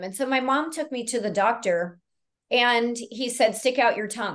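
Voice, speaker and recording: Over a quiet background, a woman talks at a moderate pace with ordinary pitch variation in an ordinary speaking voice. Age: 50s. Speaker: naturopathic doctor. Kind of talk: interview.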